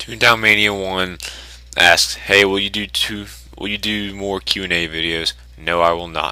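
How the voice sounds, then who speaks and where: Against noticeable background noise, a man with a very deep, low pitch speaks at a moderate pace with ordinary pitch variation. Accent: Southern US. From US South. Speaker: YouTuber. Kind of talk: Q&A video. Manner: casual.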